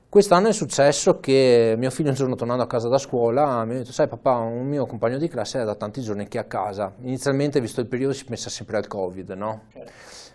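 Talking at a very fast pace with hardly any pauses, a man uses a medium pitch and ordinary pitch variation against noticeable background noise. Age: 30s. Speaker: amateur cyclist and charity fundraiser. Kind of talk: interview. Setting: studio.

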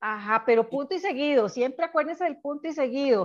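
The background stays quiet. Against it, a woman talks in a high voice. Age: 60s. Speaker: psychologist. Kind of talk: interview.

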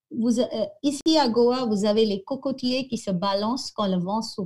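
A woman's voice sits at a fairly high pitch with ordinary pitch variation. It has a dark, mellow tone and sounds somewhat breathy. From India, Goa. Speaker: French professor. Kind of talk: interview. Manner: halting.

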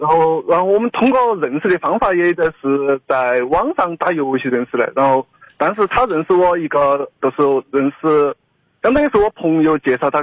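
In an unremarkable speaking voice, a man with fairly high pitch talks at a moderate pace, his intonation lively and his loudness very even. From rural Chongqing. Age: 20s. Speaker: radio caller. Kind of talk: phone-in conversation. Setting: phone call.

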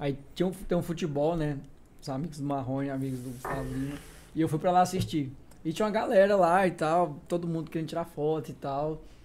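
At a fairly quick pace, a man talks in a plain, everyday voice with a fairly high pitch and ordinary pitch variation. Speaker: personal trainer.

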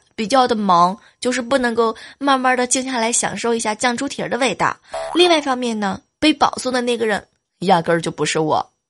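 A woman's high, animated voice with lively intonation at a fairly quick pace, music in the background. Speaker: podcast host. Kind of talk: comedic monologue. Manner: laughing often.

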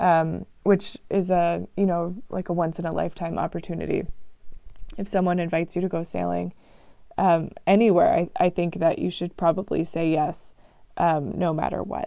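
A woman speaks with a Texan accent. She keeps a moderate pace. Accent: Texan American English. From Texas. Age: 20s. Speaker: travel podcaster. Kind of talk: casual solo podcast monologue. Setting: travelling, recording abroad in France. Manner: frequent fillers and hesitations.

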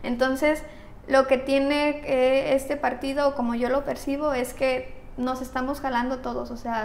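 Audible room echo surrounds a woman who speaks at a fairly slow pace in a high pitch. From Mexico. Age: 20s. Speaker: young politician, tourism graduate. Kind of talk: interview. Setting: studio.

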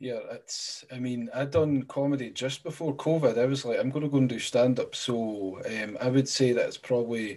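Speaking with a Scottish accent, a man uses a medium pitch, fairly even intonation and a moderate pace. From Scotland. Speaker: podcast host. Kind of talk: casual interview.

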